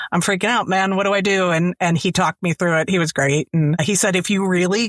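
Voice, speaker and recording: A fairly quick pace and ordinary pitch variation mark this woman's unremarkable speaking voice, captured in a very clean recording against a silent background. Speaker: audiobook narrator. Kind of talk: interview answer.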